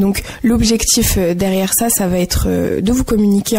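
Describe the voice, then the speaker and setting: A woman speaks at a fairly quick pace in a medium pitch with fairly even intonation. Noticeable background noise is present. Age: 20s. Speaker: association volunteer. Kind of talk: radio interview.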